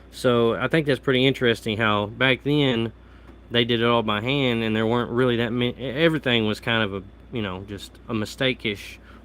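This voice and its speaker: With a Southern Midland US accent, a man speaks at a medium pitch and a fairly quick pace, his intonation fairly even. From US Midwest, Southeast Missouri. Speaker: coin collector, live streamer. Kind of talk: casual live stream chat. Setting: live stream from home.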